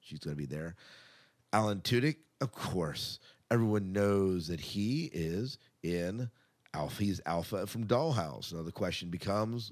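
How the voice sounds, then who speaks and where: A man's unremarkable speaking voice, pitched fairly low, its pitch varying in an ordinary way, recorded very cleanly against a silent background. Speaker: podcast host. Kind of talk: casual podcast banter and news discussion.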